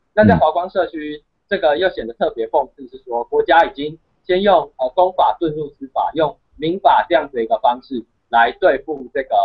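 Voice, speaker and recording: A man with a Taiwanese accent at a moderate pace, big swings in loudness, quiet background. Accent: Taiwanese Mandarin. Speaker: university student and activist; guest. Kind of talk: interview. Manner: halting, many fillers. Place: home room. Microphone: video call.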